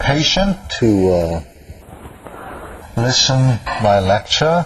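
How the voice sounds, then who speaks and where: A man's medium-pitched voice with very wide pitch swings at a very slow pace, over noticeable background noise. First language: Korean. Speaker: professor. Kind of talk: lecture. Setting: classroom. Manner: halting.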